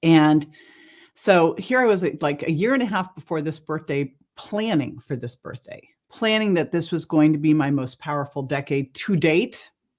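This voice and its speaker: A woman with a Californian accent speaks at a very deep, low pitch and a moderate pace. Her tone is animated, her intonation lively. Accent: General American (California). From US West Coast, El Cerrito California. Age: 60s. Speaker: wellness entrepreneur. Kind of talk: podcast interview.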